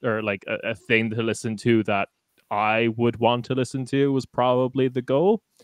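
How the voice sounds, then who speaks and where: In an Irish accent, the voice keeps a fairly even intonation with a dry, close sound and no echo. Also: man. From Ireland. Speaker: podcaster. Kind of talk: casual chat.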